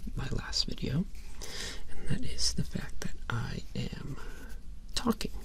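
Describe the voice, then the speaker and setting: A man whispers in a relaxed tone. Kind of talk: ASMR rambling talk to camera. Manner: relaxed, rambling.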